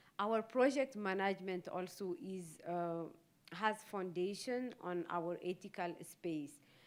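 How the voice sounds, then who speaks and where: A woman at a very slow pace with a Saharan accent and ordinary pitch variation. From West Africa, Sahel and Sahara region. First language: Tamasheq. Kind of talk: keynote address. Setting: conference. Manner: halting, many hesitations.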